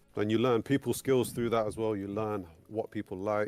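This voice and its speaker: In an English accent, a man speaks at a fairly low pitch and a fairly quick pace. His intonation stays fairly even. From England. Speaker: sound engineer. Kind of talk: interview. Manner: halting.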